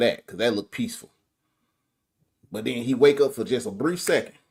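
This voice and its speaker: A man with a strong Southern US accent talks very fast, with ordinary pitch variation. The recording is very clean, with a silent background. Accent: strong southern twang. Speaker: guest movie reviewer, voice artist. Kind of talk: casual chat. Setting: live stream.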